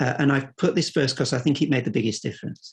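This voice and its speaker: A man's somewhat breathy, fairly high voice with a British accent, on a very clean recording with a silent background. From UK. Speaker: academic, French philosophy researcher. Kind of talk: seminar talk. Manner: hesitant, many fillers and repetitions.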